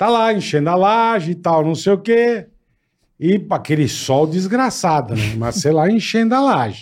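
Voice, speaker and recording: A man's high-pitched voice with very wide pitch swings and very even loudness. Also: moderate pace. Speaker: podcast host. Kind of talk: casual chat. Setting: studio.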